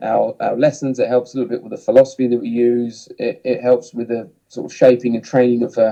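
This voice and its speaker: Rushing at a very fast pace with hardly any pauses, a man with a southern English accent uses a dark, mellow tone, fairly even intonation, and big swings in loudness. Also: medium pitch for a man. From southern England, Hemel Hempstead. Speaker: ski instructor and snowsports manager. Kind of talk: podcast interview. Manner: hesitant, many fillers and repeats.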